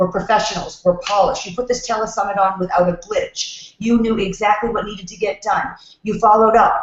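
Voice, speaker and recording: This woman speaks with a New York accent at a fairly quick pace. Her pitch is fairly high, and her intonation stays fairly even. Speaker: networking expert. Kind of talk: casual chat. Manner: fast.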